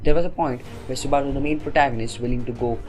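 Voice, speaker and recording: Music plays in the background, and room echo is audible. The pitch varies in an ordinary way. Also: man. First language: not English. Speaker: anime reviewer. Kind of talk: opinionated review. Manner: casual, exasperated.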